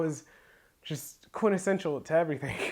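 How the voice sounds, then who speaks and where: Against a quiet background, a man speaks at a moderate pace in an animated tone. His pitch is fairly high, with ordinary pitch variation. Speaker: comedy skit creator. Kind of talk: tutorial.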